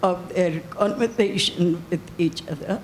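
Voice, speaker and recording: Very slowly, a woman with an Indian accent speaks, her pitch varying in an ordinary way. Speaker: reader at a reading. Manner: hesitant, many fillers.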